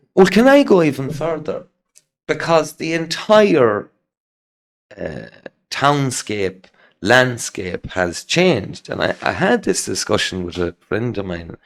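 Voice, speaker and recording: A very slow man's voice in an Irish accent, fairly high in pitch, with very wide pitch swings and long, frequent pauses. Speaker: podcast host. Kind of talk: casual chat. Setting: in-person interview.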